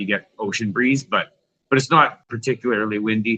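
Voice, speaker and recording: A man with a western Canadian accent, bright and sharp in tone, at a fairly quick pace. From Canada, Vancouver Island. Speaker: punk rock guitarist. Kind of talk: casual chat.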